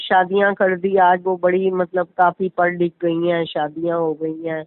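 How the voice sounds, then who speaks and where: A woman with a normal speaking voice at medium pitch. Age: 60s. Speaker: caller seeking spiritual advice. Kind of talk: question and answer chat.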